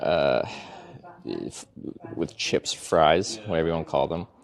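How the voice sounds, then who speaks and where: A man speaks with a Canadian accent. Noticeable background noise runs behind him. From Canada, British Columbia (Vancouver Island). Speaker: travel vlogger / streamer. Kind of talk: casual live-stream chat. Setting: outdoors, cycling tour in Europe. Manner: hesitant, many fillers.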